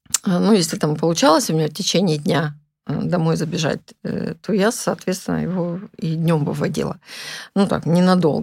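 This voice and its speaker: Her voice fairly low with vocal fry, a woman talks with ordinary pitch variation. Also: moderate pace. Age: old. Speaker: retired massage therapist, grandmother. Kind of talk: casual chat. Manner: hesitant, with filler sounds.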